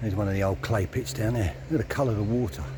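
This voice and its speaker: Over music in the background, a man speaks at a fairly low pitch. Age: 60s. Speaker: cycling vlogger. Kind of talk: casual vlog narration. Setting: outdoors on a bike. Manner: relaxed, conversational.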